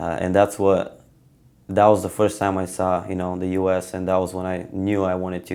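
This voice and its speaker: A man with a Bulgarian accent talks at a fairly quick pace, his pitch very deep and low. His tone is dark and mellow, his intonation monotone and flat. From Bulgaria, Stara Zagora. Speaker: wrestler. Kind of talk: interview. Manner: hesitant, many fillers.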